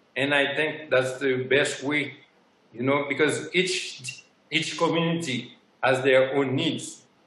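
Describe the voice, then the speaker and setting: Speaking at a very slow pace, a man with a fairly high pitch keeps a monotone, flat intonation, with audible room echo and noticeable background noise. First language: French or Haitian Creole. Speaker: sourcing partner. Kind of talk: conference interview.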